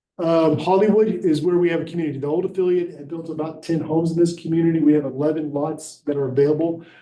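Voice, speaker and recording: A man talks at a fairly quick pace. His tone is dark and mellow, with fairly even intonation. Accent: Alabama. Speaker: housing nonprofit director. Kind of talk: public presentation at county meeting. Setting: county commission meeting. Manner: fast.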